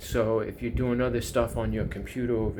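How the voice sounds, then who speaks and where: Someone speaks with a New York accent, with audible echo from the room. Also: man. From US, Long Island, New York. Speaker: YouTuber. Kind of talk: casual monologue.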